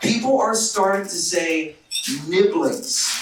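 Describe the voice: With an American accent, a man speaks slowly at a high pitch with ordinary pitch variation, and strong room echo surrounds his voice.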